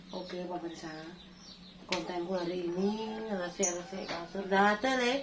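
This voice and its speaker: A woman talks at a fairly slow pace with ordinary pitch variation, amid audible room echo and noticeable background noise. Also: medium pitch for a woman. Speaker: vlogger, street vendor. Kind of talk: casual vlog talk. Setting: at home.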